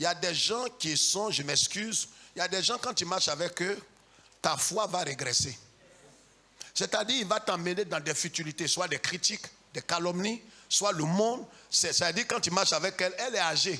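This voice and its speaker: A loud man with a high pitch and a bright, sharp tone talks in an animated way at a moderate pace, with ordinary pitch variation and long, frequent pauses. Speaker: pastor. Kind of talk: sermon.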